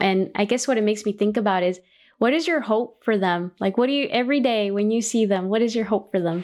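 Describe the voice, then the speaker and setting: In a Californian accent, a woman speaks very fast at a fairly high pitch with ordinary pitch variation and very even loudness, on a very clean recording with a silent background. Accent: Californian American. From Los Angeles. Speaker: college system chancellor and podcast host. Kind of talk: interview.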